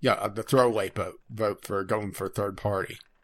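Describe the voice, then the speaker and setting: The speaker has a normal speaking voice with ordinary pitch variation at a moderate pace. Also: man. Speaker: podcast co-host. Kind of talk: casual chat. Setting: Skype call.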